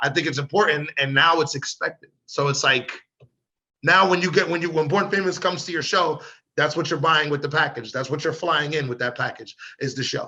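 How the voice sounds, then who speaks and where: Fairly even intonation in a man's bright, sharp tone. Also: fairly quick pace. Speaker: rapper. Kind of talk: interview. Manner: casual, repetitive fillers.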